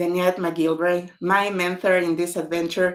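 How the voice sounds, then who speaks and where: A woman's medium-pitched voice in a Spanish accent, at a fairly slow pace. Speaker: author. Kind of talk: online book launch talk.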